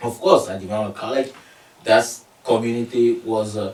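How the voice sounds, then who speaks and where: Amid noticeable background noise, a man with a Togolese accent speaks at a medium pitch and moderate pace, his loudness swinging widely. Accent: Togolese (West African francophone) English. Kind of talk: interview. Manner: halting, many fillers.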